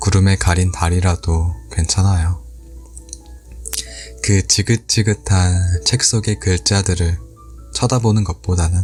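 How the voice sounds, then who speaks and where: Music plays in the background as a man with a very deep, low pitch speaks at a very slow pace with long, frequent pauses. His intonation is lively and his loudness very even. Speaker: audiobook reader / ASMR channel host. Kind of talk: book reading, ASMR-style essay narration. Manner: soft, calm, gentle.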